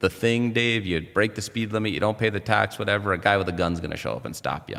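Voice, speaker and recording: Lively intonation from a man, on a very clean recording against a silent background. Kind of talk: interview. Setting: studio. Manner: halting, with self-corrections.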